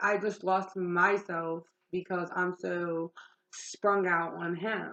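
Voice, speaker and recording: The intonation is monotone and flat. Delivery comes at a very slow pace. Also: woman, medium pitch for a woman. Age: 20s. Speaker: vlogger sharing life story. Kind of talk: personal testimony. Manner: loud; talkative, casual.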